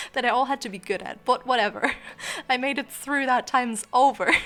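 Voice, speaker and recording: Ordinary pitch variation in a woman's high voice. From Germany. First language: German. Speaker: YouTuber. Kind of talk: casual chat. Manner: rambling with many fillers.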